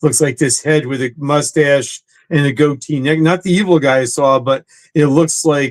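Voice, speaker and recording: With an American accent, a man talks at a moderate pace, his fairly high pitch following a fairly even intonation. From New Jersey. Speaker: actor and comedian. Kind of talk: casual chat.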